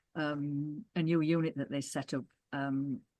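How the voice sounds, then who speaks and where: A woman with a very deep, low voice and a northern English accent, with fairly even intonation and a quiet background. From northern England. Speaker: former co-operative development worker and councillor. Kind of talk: oral history interview. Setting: video call. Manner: halting.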